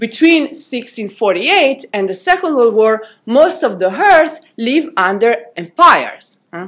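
With hardly any pauses, a woman with a high pitch speaks at a very slow pace, her voice making very wide pitch swings. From Italy. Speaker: philosophy professor. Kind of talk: reading a prepared paper.

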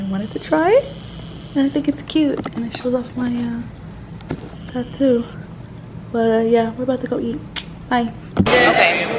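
Fairly high-pitched female speech at a moderate pace, broken by long, frequent pauses, with noticeable background noise. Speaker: lifestyle vlogger. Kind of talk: casual talk to camera. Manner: upbeat.

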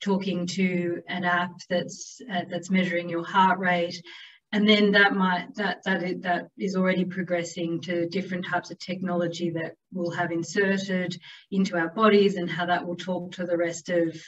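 A woman speaks at a moderate pace and fairly low pitch. Her intonation is monotone and flat. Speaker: presenter. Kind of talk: presentation talk. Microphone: webcam.

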